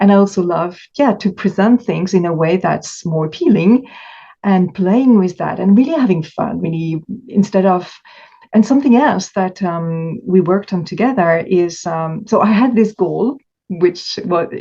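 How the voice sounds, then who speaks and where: With a French accent, a woman speaks in a somewhat breathy voice with a dark, mellow tone. Her pitch is medium with ordinary variation, and her pace is moderate. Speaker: coach for stress eaters. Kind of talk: interview conversation. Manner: halting.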